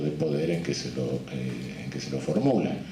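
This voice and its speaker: A man is talking. Behind him is noticeable background noise. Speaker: criminologist, jurist and supreme court judge giving a congress lecture. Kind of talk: academic conference lecture.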